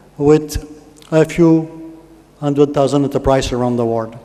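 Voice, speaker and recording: A man at a moderate pace with ordinary pitch variation, amid noticeable background noise. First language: French. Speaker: conference speaker. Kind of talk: speech to an audience. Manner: halting.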